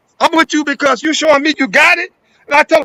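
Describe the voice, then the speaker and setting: An extremely high-pitched, raised and projected male voice with an animated tone, in a dry, close sound with no echo. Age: 70s. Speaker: elder businessman guest. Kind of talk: casual chat.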